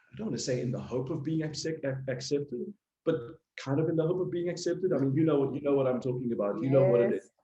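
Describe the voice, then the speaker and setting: Somewhat breathy and fairly high-pitched, a man talks at a very fast pace with ordinary pitch variation. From South Africa. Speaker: sales and business development professional. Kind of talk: casual chat.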